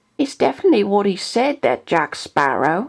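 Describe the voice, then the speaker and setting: In a put-on character voice, a woman sounds shrill as her pitch swings very widely. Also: medium pitch for a woman, moderate pace. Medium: read story.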